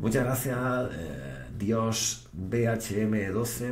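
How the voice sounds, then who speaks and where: Light background noise and audible room echo accompany the man as he talks. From Spain. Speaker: Twitch streamer. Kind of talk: live stream chat. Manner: animated. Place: home room.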